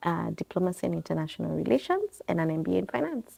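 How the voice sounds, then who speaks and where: Recorded with a dry, close sound and no echo, a woman speaks with an American accent. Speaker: business owner. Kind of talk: interview. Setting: bookstore and coffee bar.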